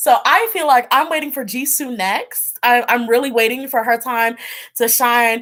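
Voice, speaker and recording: In an American accent, a woman speaks at a high pitch and a moderate pace. Her tone is animated and her intonation lively. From New Jersey. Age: 20s. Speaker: tarot reader streamer. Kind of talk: casual live-stream chat.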